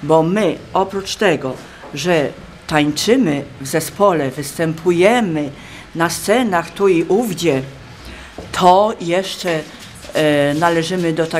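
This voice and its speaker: A woman's fairly low voice at a very slow pace, with long, frequent pauses and light background noise. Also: ordinary pitch variation. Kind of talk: interview answer. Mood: calm, proud. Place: hall. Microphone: phone near.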